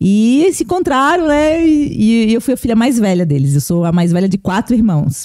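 A woman speaks at a moderate pace, her loudness very even while her pitch swings very widely. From Blumenau, Santa Catarina, southern Brazil. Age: 30s. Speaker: pastor. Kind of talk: casual interview.

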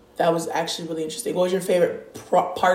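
There is noticeable background noise. A woman talks over it. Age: adult, parent. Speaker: podcast co-host. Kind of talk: casual chat.

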